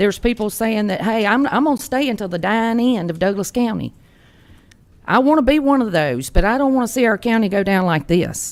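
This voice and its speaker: A woman with a Georgia accent speaks at a fairly quick pace. Her pitch sits fairly high, and her intonation is lively. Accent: US Southern (Georgia). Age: 60s. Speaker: resident speaking at public comment. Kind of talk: public comment at county meeting. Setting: county commission meeting.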